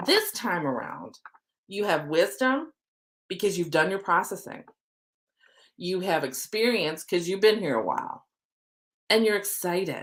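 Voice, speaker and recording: This woman's medium-pitched voice has a bright, sharp tone, an animated delivery and lively intonation. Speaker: oracle card reader and manifesting coach. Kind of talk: live stream spiritual reading. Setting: live video stream. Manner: fast.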